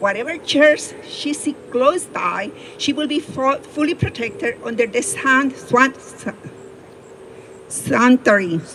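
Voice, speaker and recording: In a strong Spanish accent, a woman with a high pitch speaks at a very slow pace with very wide pitch swings over noticeable background noise. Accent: heavy Spanish. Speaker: attorney. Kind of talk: personal storytelling talk.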